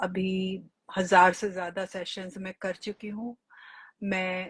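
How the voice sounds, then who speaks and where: The sound is dry and close, with no echo. A woman speaks in a somewhat breathy way. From India, Delhi. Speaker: regression therapist and life coach. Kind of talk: live stream conversation. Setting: online live stream.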